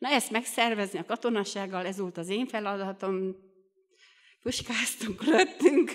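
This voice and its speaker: A woman speaks at a fairly slow pace with ordinary pitch variation. Her loudness swings widely against a quiet background. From Romania, Bihor region (Hungarian minority); Romania. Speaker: lay preacher at a Baptist youth meeting. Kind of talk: sermon. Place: church. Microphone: studio mic.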